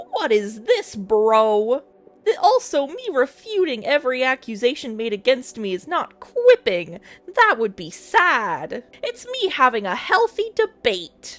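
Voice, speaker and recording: A female-sounding voice in a put-on character voice speaks at a high pitch and a fairly slow pace. Faint music plays in the background. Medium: read story. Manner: pompous, argumentative.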